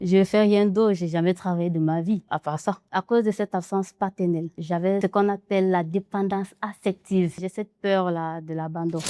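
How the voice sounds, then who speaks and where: On a very clean recording with a silent background, a woman speaks at a moderate pace in a dark, mellow tone, the sound dry and close with no echo. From Cameroon. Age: 20s. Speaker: textile artist. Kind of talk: interview.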